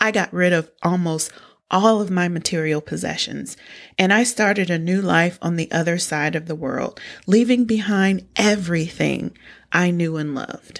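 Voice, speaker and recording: In a very clean recording with a silent background, a woman speaks with an American accent at a fairly low pitch. She has an unremarkable speaking voice with ordinary pitch variation. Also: moderate pace. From small-town US. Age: 40s. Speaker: podcast host, personal finance educator. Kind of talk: scripted narration.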